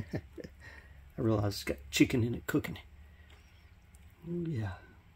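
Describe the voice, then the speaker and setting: A man talks at a fairly slow pace, pausing long and often. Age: 60s. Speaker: home cook. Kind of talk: casual talk to camera. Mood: pleased, savoring the smell. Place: kitchen. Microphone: phone near.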